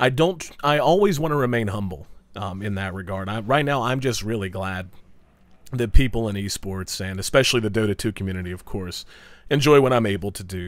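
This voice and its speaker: A man speaks at a fairly low pitch with a slight southern West Virginia accent. His pace is fairly quick. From US South, southern West Virginia. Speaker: esports commentator. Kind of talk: viewer Q&A monologue.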